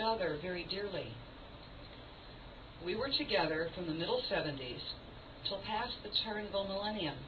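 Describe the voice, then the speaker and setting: Over noticeable background noise, a woman with a medium pitch talks at a moderate pace. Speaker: stage performer. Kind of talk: theatrical monologue. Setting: live performance in a cafe.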